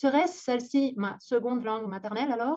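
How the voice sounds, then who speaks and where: A woman talks in a Catalan accent. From Aragon, Spain (Zaragoza), Catalan-speaking family. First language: Catalan (speaking French). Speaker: university lecturer. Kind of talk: conference talk.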